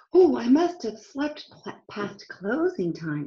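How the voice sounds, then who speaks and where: A woman's put-on character voice, fairly high in pitch, with very wide pitch swings and a fairly slow pace. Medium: read story.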